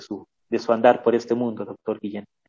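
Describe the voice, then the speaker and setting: In a plain, everyday voice, this man holds a medium pitch while talking at a moderate pace. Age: 60s. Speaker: university radio host. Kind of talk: interview. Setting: online radio program.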